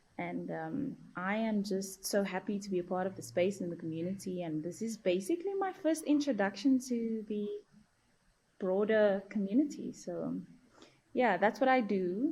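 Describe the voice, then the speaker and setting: A woman with a South African accent speaks at a moderate pace with lively intonation. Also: medium pitch for a woman. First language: Afrikaans. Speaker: journalist and field reporter. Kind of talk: casual podcast chat.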